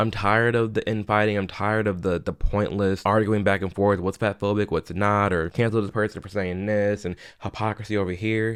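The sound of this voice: A man speaks at a fairly low pitch with little pitch movement. His tone is clear and smooth. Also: moderate pace, very clean recording, silent background.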